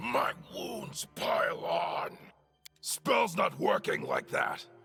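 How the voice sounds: Faint music plays in the background as a man does a raspy, put-on character voice at a very slow pace.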